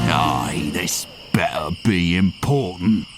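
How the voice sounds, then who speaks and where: A man growls in a put-on character voice, pitched very deep and low, speaking at a very slow pace over clear background noise. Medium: game stream. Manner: gruff, growling.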